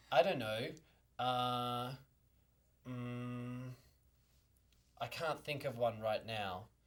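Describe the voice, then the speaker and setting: A man's medium-pitched voice with an Australian accent, very slow pace, fairly even intonation and long, frequent pauses. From Australia, small country town. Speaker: dancer. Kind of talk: interview. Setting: studio. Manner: halting.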